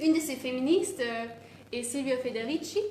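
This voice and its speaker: A woman with a non-native accent, audible room echo and noticeable background noise. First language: not French (speaking French). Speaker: activist speaker. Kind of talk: presentation. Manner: halting, many hesitations.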